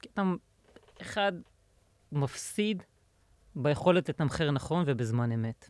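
A man's fairly high voice at a very slow pace, with lively intonation and long, frequent pauses. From Israel, central. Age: 30s. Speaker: insurance software consultant. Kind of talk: casual interview. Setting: studio.

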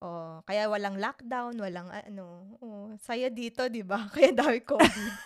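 With noticeable background noise behind her, a woman talks at a fairly slow pace with hardly any pauses, her fairly high pitch showing ordinary variation and big swings in loudness. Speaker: podcast co-host. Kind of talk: casual chat.

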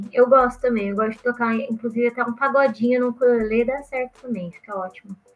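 A woman's high-pitched voice at a very fast pace, with hardly any pauses, big swings in loudness and fairly even intonation. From Brazil, interior of São Paulo state. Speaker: musician and content creator. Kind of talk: casual interview.

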